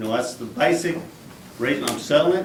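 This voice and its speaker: Noticeable background noise and audible room echo surround this recording. A man with a North Texas accent talks at a fairly high pitch. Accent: North Texas drawl. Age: 60s. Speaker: golf course owner speaking at council meeting. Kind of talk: public comment at city council. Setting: city council meeting.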